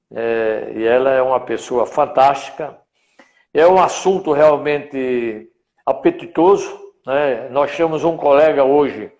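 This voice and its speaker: His pitch shifts in an ordinary way. The man's delivery is very slow. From Rio Grande do Norte, Brazil. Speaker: veterinarian, professional council president. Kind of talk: interview. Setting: online live stream.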